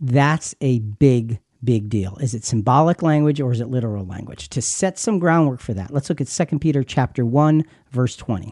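A man speaks at medium pitch and a moderate pace, his tone dark and mellow with lively intonation. The background is quiet. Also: dry, close sound with no echo. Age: 60s. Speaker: podcast host and Bible teacher. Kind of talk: Bible study discussion.

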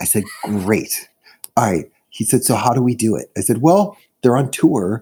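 A man with an American accent speaks at a moderate pace, his intonation lively. He has a normal speaking voice. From US Midwest, Chicago. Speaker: music artist manager. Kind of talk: casual interview chat.

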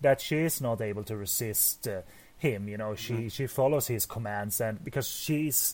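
Using a plain, everyday voice, a man delivers his words at medium pitch and a moderate pace, his pitch varying in an ordinary way. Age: 30s. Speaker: film podcast co-host. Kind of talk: casual chat.

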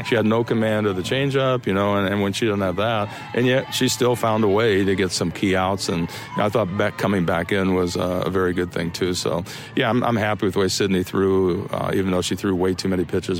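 Music plays in the background as a man speaks in a very deep, low voice, his loudness very even and his intonation fairly even. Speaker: softball coach. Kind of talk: post-game radio interview. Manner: casual, hesitant, repeating words.

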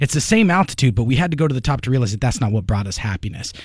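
On a very clean recording with a silent background, a man speaks very fast at medium pitch in a somewhat breathy voice. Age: 30s. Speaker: businessman being mentored. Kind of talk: radio talk show discussion. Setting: radio studio.

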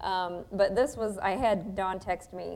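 A woman uses a normal speaking voice with fairly even intonation. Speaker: radio host. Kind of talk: casual chat. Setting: church.

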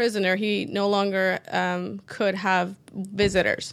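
A woman with a Persian accent speaks at medium pitch in a very clean recording with a silent background. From Iran. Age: 30s. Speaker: structural engineer. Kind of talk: interview.

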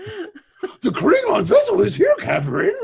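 At a fairly slow pace, a man uses a put-on character voice with an extremely high pitch. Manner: cartoonish, goofy.

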